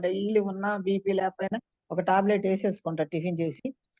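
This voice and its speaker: Dark and mellow in tone, a woman speaks with ordinary pitch variation in a dry, close sound with no echo. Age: 70s. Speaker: program participant. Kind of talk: testimony.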